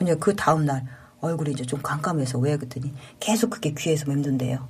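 Against a noticeable din in the background, the talking runs at a fairly quick clip. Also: woman. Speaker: paramedic station chief. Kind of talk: interview testimony.

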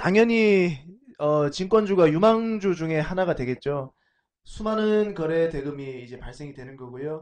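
At a fairly high pitch, a man speaks fairly slowly with lively intonation. His volume swings widely throughout. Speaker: investment firm CEO and author. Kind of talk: live-streamed talk show.

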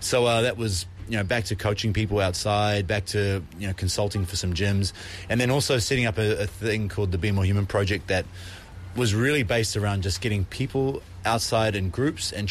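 Here a man talks in a New Zealand accent at a fairly quick pace. His pitch sits fairly low. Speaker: fitness entrepreneur and coach. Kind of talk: recorded interview.

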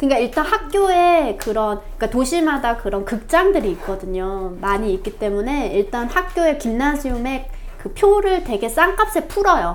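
Amid noticeable background noise, a high-pitched woman speaks at a moderate pace with very wide pitch swings and hardly any pauses. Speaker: podcast co-host. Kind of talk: reading aloud.

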